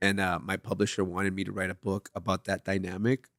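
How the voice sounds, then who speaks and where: A man with a Spanish accent, fairly low-pitched and monotone, at a fairly quick pace, in a dry, close recording with no echo and a silent background. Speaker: TV writer and memoir author. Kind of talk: casual interview chat.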